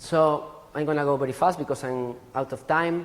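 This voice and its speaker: A man talks at a medium speed. He has an ordinary speaking voice, pitched fairly high. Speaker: forest genetics researcher. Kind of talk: conference talk.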